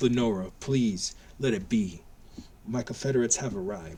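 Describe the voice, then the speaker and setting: This man uses a put-on character voice at a medium pitch and a moderate pace. Clear background noise is present. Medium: read story. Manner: smirking, self-assured.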